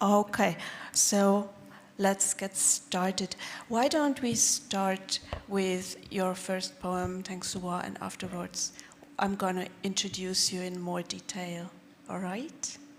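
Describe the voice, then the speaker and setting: At a very slow pace, a woman with a medium pitch speaks with fairly even intonation against noticeable background noise. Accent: German. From Bavaria. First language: German. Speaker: poet and event moderator. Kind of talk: moderating a live reading. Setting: stage with audience.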